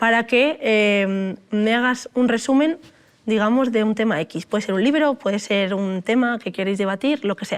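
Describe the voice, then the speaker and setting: Recorded very cleanly against a silent background, the speech has a moderate pace and ordinary pitch variation. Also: woman, fairly high pitch for a woman. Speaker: computer science researcher, AI expert speaker. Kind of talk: talk with audience Q&A.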